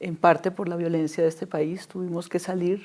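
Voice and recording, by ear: A woman talks at a moderate pace in a fairly low pitch. Her slightly mellow tone shows little pitch movement.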